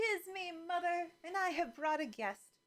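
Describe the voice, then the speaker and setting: This is a squeaky, put-on character voice. It moves along at a moderate pace. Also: female-sounding voice. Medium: read story. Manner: calm, sweetly unbothered.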